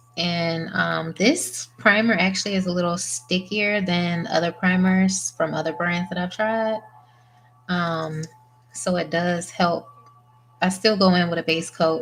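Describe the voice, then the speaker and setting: A soft-spoken woman with a fairly low pitch talks at a fairly slow pace in a fairly even intonation while music plays in the background. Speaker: press-on nail artist. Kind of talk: tutorial.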